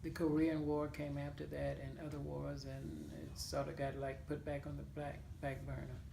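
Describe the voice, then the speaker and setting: A woman speaks at a moderate pace over noticeable background noise and audible room echo. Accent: Mississippi. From US South, Claiborne County, Mississippi. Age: 70s. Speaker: oral history interviewee. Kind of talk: interview. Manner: hesitant, with fillers.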